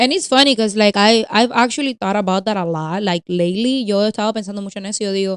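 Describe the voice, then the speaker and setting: In a Spanish accent, a woman talks at a very fast pace with hardly any pauses, the sound dry and close with no echo. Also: medium pitch for a woman, ordinary pitch variation. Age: 30s. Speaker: podcast co-host. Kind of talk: casual chat. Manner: code-switching between English and Spanish.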